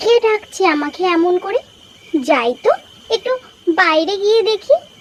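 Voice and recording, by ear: In a cartoonish character voice, a woman speaks at a fairly slow pace with an extremely high pitch and very wide pitch swings. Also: dry, close sound with no echo.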